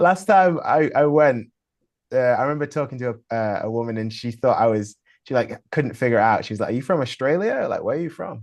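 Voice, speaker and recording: A man with an English accent, medium pitch and lively intonation, at a fairly quick pace over a quiet background. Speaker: rock musician. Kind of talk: casual chat.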